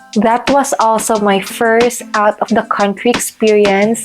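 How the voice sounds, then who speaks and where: A woman talks at a moderate pace with a fairly high pitch and monotone, flat intonation, noticeable background noise behind her. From Philippines, Cagayan de Oro. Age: 20s. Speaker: teacher and vlogger. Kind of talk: personal vlog.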